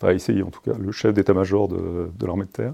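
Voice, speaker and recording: A man's dark, mellow tone at a fairly quick pace. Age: 50s. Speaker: army officer. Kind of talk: interview. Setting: ministry office. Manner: halting.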